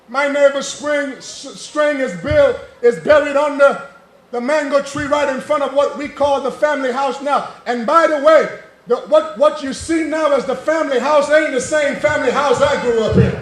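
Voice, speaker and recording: A loud, extremely high-pitched man's voice in an American accent, with fairly even intonation at a moderate pace, audible room echo and noticeable background noise. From British Virgin Islands (Cane Garden Bay, Tortola). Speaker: political candidate. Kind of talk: campaign rally speech. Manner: loud, rambunctious.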